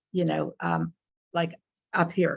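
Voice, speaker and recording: The sound is dry and close with no echo as a woman speaks at a fairly slow pace with vocal fry. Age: 70s. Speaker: client giving a health testimonial. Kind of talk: testimonial interview. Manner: hesitant, many fillers.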